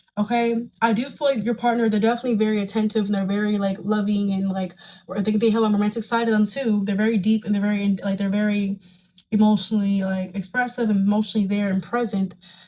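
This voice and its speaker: A woman's medium-pitched, somewhat breathy voice with a dark, mellow tone, monotone, flat intonation and a very fast pace. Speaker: tarot reader. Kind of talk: tarot reading monologue.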